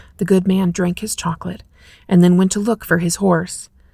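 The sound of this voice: An unforced reading voice is heard here.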